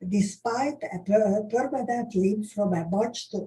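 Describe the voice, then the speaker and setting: A woman speaks very slowly in a somewhat breathy voice with a dark, mellow tone. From Hungary (Budapest). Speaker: Holocaust survivor recounting history. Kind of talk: oral history testimony. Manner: halting, many hesitations.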